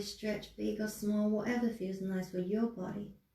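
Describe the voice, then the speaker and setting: Audible room echo surrounds a woman speaking in a calm tone with monotone, flat intonation. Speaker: yoga instructor. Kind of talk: guided yoga class. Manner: calm, slow.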